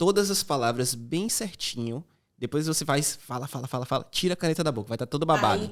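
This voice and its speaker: A man speaks in an ordinary speaking voice at a fairly high pitch. His pace is fairly quick and his intonation lively. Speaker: podcast host. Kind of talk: interview conversation.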